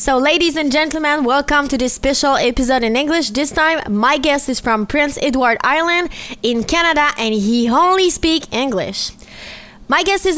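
A woman speaks at a moderate pace with a strong French accent. Her pitch is high, with ordinary variation. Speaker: podcast host. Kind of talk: casual chat.

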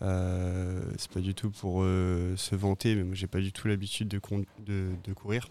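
A man with a very deep, low voice speaks very slowly in a dark, mellow tone. His delivery is monotone and flat at a very even loudness, on a very clean recording with a silent background. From southwest France (Pau). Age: 30s. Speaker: brewer. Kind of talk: casual chat.

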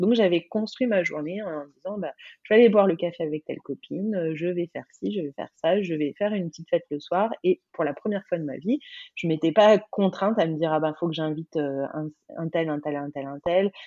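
A woman speaks fairly quickly in a plain, everyday voice. Her pitch is fairly low, with ordinary variation. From France, Burgundy near Dijon. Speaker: life coach and entrepreneur. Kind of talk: interview, casual chat.

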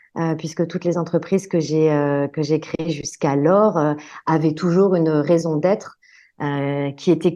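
Against a quiet background, a woman with a fairly low pitch and a dark, mellow tone speaks at a fairly slow pace with fairly even intonation. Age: 40s. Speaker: entrepreneur, workplace wellbeing consultant. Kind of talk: interview conversation.

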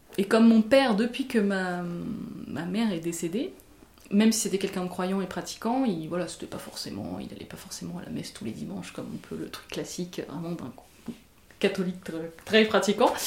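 Talking at a fairly quick pace, a woman at medium pitch shows ordinary pitch variation and big swings in loudness. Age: 30s. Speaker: interviewee sharing her beliefs. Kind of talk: personal testimony. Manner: halting, many hesitations and repetitions.

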